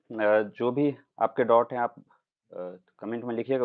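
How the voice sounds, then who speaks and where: This man talks at a medium pitch. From Bihar, Madhubani district (Mithila region). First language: Maithili (speaking Hindi). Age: 20s. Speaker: civil services exam topper. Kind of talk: live interview / Q&A. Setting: livestream. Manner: hesitant, frequent filler 'uh'.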